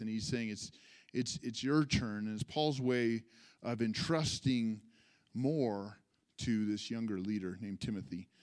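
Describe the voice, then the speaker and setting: A man with an American accent talks at a moderate speed. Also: very clean recording, silent background. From California, US. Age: 40s. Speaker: pastor. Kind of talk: testimony; sermon. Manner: conversational, with frequent fillers and repetitions.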